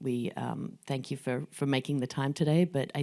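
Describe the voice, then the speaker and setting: On a very clean, silent recording, a woman with an Australian accent speaks at a moderate pace in a very deep, low pitch, dark and mellow in tone with ordinary pitch variation. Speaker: fintech executive and moderator. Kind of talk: fireside chat.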